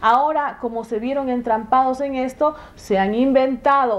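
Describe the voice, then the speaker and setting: Pitch varies in an ordinary way. The voice belongs to a woman. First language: Shuar (speaking Spanish). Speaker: legislator. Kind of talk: TV interview. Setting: TV studio. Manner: halting, with fillers.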